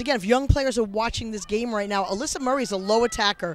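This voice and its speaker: This voice has a Long Island accent and moves at a very fast pace. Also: man. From US, Long Island, New York. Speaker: lacrosse color commentator. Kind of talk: live sports commentary. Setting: outdoors at a lacrosse game.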